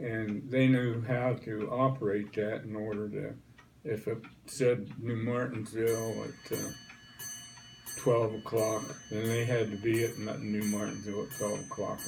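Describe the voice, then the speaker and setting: Fairly slow, monotone speech with flat intonation in an American accent, over noticeable background noise. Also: man, medium pitch for a man. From West Virginia. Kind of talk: interview answer. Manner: hesitant, conversational.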